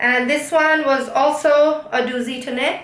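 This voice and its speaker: A woman's raised, projected voice, with audible room echo and noticeable background noise. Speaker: knitting YouTuber. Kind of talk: casual monologue, craft review.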